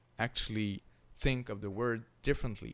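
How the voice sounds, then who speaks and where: The recording is very clean, with a silent background. The speaker talks at a fairly slow pace with a French accent and monotone, flat intonation. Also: man. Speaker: university lecturer. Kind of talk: lecture. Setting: live stream. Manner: halting, many fillers.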